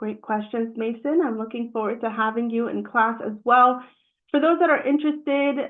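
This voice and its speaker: A woman with an unremarkable speaking voice talks at a fairly high pitch. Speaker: project management trainer. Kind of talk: webinar presentation. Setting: live-streamed webinar.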